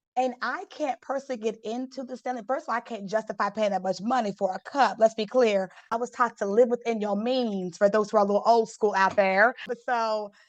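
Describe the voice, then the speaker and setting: Hardly pausing, a woman with a fairly high pitch talks at a fairly quick pace with fairly even intonation. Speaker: motivational speaker and legal consultant. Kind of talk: podcast interview. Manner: fast.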